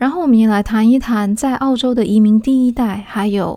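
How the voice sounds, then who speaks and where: The voice has a dark, mellow tone, ordinary pitch variation, and a Taiwanese accent. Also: woman. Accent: Taiwanese Mandarin. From Taiwan, Taipei. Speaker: podcast host and author. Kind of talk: casual solo podcast talk. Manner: relaxed, lazy drawl.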